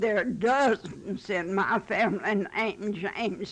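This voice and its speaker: A woman speaking at a very slow pace in a Western Kentucky accent, medium-pitched, with ordinary pitch variation. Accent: rural Western Kentucky, US South. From Western Kentucky (Marshall County). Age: 80s+. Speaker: elderly interviewee. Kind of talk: oral history interview. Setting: her home.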